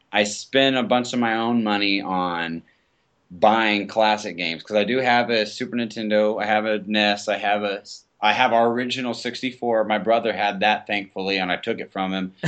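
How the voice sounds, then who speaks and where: This man has a fairly low pitch and an unremarkable speaking voice. He talks at a moderate pace in an American accent. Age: 20s. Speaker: aspiring podcaster. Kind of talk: casual chat.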